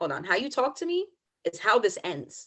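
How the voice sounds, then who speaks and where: A woman's voice with an American accent and lively intonation. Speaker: podcast co-host. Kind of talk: casual chat. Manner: calm.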